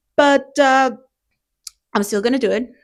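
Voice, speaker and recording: Against a very clean recording with a silent background, a woman with a non-native accent speaks in a high pitch with lively intonation at a moderate pace. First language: not English. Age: 30s. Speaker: beginner art vlogger. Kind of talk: casual vlog monologue. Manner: halting, repeats words.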